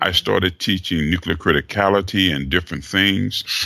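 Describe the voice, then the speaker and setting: There is noticeable background noise behind a man talking at a fairly quick pace. His intonation is lively. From Chattanooga, Tennessee. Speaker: author and leadership coach. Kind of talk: interview.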